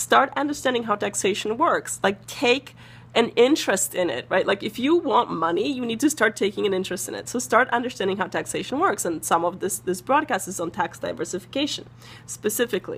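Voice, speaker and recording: Speaking at a fairly quick pace, a woman with a fairly high pitch sounds animated, her pitch swinging very widely. Vocal fry comes through in her voice. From Eastern Europe. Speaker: personal finance broadcaster. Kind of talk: live stream talk to viewers. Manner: fast.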